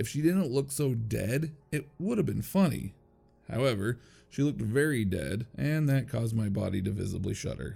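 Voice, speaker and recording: A man's medium-pitched, somewhat breathy voice, dark and mellow in tone, moves at a moderate pace. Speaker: narrator. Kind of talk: horror story narration.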